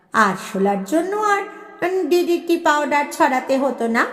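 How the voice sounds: With audible room echo, a woman speaks at a fairly slow pace, her high pitch moving in big swings and her tone fairly bright.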